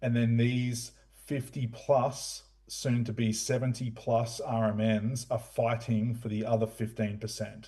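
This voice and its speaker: A man with an Australian accent speaks at a medium pitch in a somewhat breathy, dark, mellow tone, his intonation monotone and flat, with audible room echo. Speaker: retail media executive. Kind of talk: conference presentation. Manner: hesitant, many fillers.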